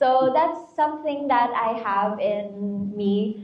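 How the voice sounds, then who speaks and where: Through audible room echo and noticeable background noise, the speech shows ordinary pitch variation. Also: woman. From Philippines, Batangas. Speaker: beauty pageant contestant. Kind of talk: interview.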